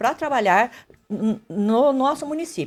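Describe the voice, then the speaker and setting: Lively intonation marks a woman's voice in a very clean recording with a silent background. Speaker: mayoral candidate, nurse. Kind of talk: radio interview. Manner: fast.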